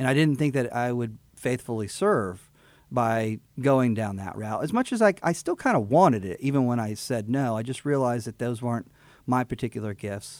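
A man with a Texan accent talks at a moderate pace, his medium pitch showing ordinary pitch variation, in a very clean recording with a silent background. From Texas, Houston area (Fort Bend County). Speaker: attorney and judicial candidate. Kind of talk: interview. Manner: halting.

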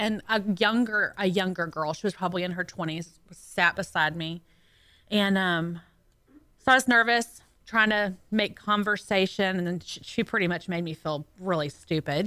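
A woman with a Southern US accent speaks at medium pitch in a bright, sharp tone, with ordinary pitch variation and a moderate pace. The recording is very clean with a silent background. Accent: Southern twang. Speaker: radio co-host. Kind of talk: casual chat. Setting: radio studio.

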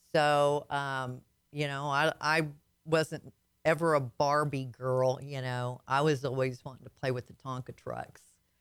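A woman's very deep, low voice in a slight Southern US accent, monotone and flat in intonation, at a fairly slow pace, on a very clean recording with a silent background. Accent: slight Southern twang. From Arkansas. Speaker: logistics business owner, author. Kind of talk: radio interview. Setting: radio studio. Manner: halting, many fillers.

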